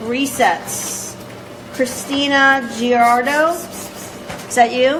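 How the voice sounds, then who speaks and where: With long, frequent pauses, a woman speaks at a very slow pace in a high pitch and fairly even intonation, over noticeable background noise and audible room echo. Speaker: judge. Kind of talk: court hearing. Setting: courtroom.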